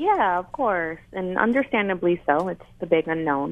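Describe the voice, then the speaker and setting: In an unremarkable speaking voice, a woman speaks at a moderate pace with a fairly low pitch and ordinary pitch variation. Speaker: nurse, radio caller. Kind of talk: call-in comment. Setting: phone call.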